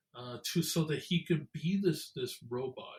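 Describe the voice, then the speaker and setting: A man with a fairly high pitch and ordinary pitch variation speaks at a very slow pace. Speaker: podcast co-host, therapist. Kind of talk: casual podcast discussion. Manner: halting, many fillers and repeats.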